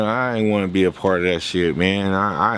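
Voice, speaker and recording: A man speaks with a fairly low pitch in a room with audible echo. Noticeable background noise sits under his voice. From Venice, Los Angeles, California. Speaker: former prisoner telling his life story. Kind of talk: interview. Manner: casual, profane street talk.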